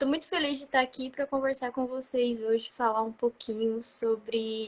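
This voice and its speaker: Here a woman talks in a high voice with a Paraná accent. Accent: Paraná interior. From interior of Paraná, Brazil. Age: 20s. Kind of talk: live interview. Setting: live stream.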